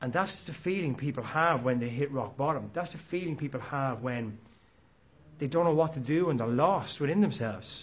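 A man's fairly high-pitched voice, somewhat breathy, with ordinary pitch variation. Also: moderate pace. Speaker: motivational podcast host. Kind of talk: motivational monologue.

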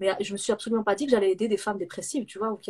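A woman talks at a very fast pace in a fairly high, somewhat breathy voice. Her pitch varies in an ordinary way. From southern France (Nîmes). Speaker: entrepreneur and business coach. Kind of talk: interview on a live video stream.

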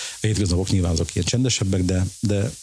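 Over noticeable background noise, a man talks at a fairly quick pace with a very deep, low pitch. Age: 50s. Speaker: design shop founder and blogger. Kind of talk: casual interview. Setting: office in a flat.

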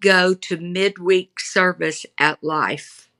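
Speaking at a very slow pace in a Texan accent, a woman is recorded with a dry, close sound and no echo. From Texas, Houston. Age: 70. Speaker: author, pastor's daughter. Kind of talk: interview, personal storytelling.

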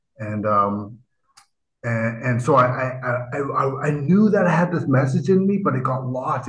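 In a room with audible echo, a man with a Canadian accent speaks at a medium pitch. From Vancouver, Canada. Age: 50s. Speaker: writer and motivational speaker. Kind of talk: interview conversation. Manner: animated.

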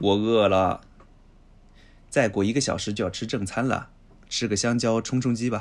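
A man speaks at a medium pitch and a fairly slow pace, with fairly even intonation and long, frequent pauses. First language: Chinese (speaking Japanese). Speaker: language podcast co-host, Chinese teacher. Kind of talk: reading aloud.

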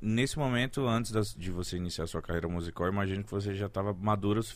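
Very fast speech from a man with a fairly low pitch, on a very clean recording with a silent background. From Brazil, North (Belém). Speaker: podcast host. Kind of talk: casual chat. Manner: animated.

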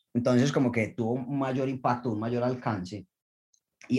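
A man talks at a medium pitch and a moderate pace, his voice somewhat breathy. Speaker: Olympic diver. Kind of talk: interview.

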